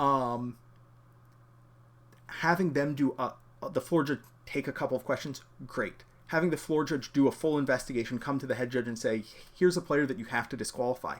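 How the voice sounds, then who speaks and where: On a very clean recording with a silent background, a man with a fairly high pitch and ordinary pitch variation speaks at a fairly quick pace with long, frequent pauses. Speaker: judge program instructor and stream host. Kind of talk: live-streamed lecture. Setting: live stream. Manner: fast.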